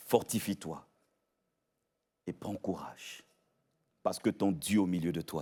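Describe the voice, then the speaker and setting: Very slowly, a man speaks with a fairly low pitch and ordinary pitch variation. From Gabon. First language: Kwele (speaking French). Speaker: pastor. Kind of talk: sermon. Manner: animated.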